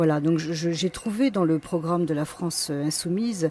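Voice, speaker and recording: A woman with a fairly low pitch and a dark, mellow tone talks at a moderate pace. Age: 60s. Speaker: political candidate. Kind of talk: campaign self-presentation. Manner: hesitant, many fillers.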